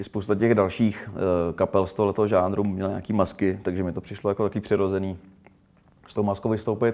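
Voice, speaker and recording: A man speaks at a fairly quick pace in a fairly low pitch with a dark, mellow tone. His intonation stays monotone and flat. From Czechia, Rumburk. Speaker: rapper and film director. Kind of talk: interview. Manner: halting, many fillers.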